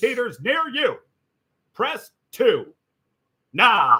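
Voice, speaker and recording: Raised and projected, a man's put-on character voice rises to an extremely high pitch. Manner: loud announcer voice.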